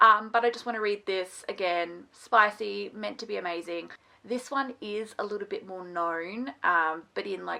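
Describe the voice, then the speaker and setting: A woman's bright, sharp voice at medium pitch, with ordinary pitch variation. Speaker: book reviewer. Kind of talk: casual chat. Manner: animated.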